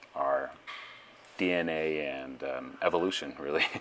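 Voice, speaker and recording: A man's very deep, low voice with fairly even intonation at a fairly slow pace, over noticeable background noise. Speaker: strength coach. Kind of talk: voiceover commentary. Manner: monotone.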